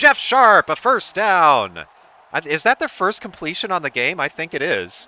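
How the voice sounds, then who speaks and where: A man with vocal fry at a moderate pace. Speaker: play-by-play commentator for a simulated football game. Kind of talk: live play-by-play commentary. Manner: sarcastic.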